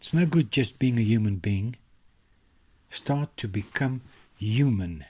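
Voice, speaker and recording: Fairly slow and marked by long, frequent pauses, a man speaks at medium pitch in a dark, mellow, somewhat breathy tone with lively intonation. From South Africa, Orange Free State. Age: 60s. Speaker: author and self-help vlogger. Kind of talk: motivational monologue.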